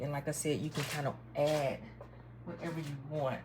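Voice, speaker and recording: Somewhat breathy, a woman speaks in a dark, mellow tone at a very deep, low pitch. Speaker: lifestyle vlogger. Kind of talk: casual recipe demo to camera.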